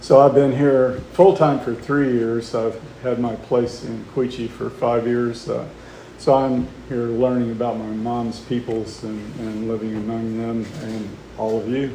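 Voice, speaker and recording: Fairly slow and fairly even in intonation, a man speaks. Audible room echo and noticeable background noise fill the recording. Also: medium pitch for a man. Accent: American. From Oklahoma. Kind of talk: public talk. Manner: hesitant, many fillers.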